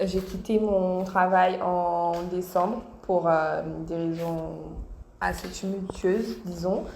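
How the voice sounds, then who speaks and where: Female speech in a room with audible echo, noticeable background noise underneath. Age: 20s. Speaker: YouTuber, young mother. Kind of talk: interview.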